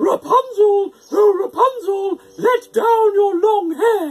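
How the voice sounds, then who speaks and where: Putting on a shrill character voice at an extremely high pitch, a man speaks at a very slow pace. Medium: read story. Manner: screechy, shrill.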